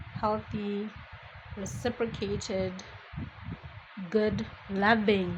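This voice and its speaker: A woman mumbles at a fairly high pitch. Noticeable background noise sits behind her. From Botswana. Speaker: podcast host. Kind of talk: casual monologue. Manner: mumbling; chatty.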